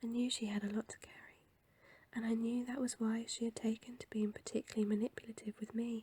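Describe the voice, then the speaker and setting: A soft-spoken woman's fairly high voice, dark and mellow in tone, delivered at a fairly quick pace in a monotone, flat intonation, with a dry, close sound and no echo. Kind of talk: audiobook reading.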